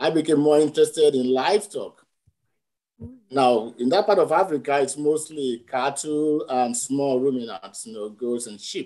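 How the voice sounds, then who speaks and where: Over a quiet background, a man's fairly high-pitched voice carries a dark, mellow tone and big swings in loudness. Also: ordinary pitch variation, moderate pace. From Nigeria. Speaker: veterinary anatomy professor. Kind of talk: panel discussion. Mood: warm, reflective. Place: home room. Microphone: video call.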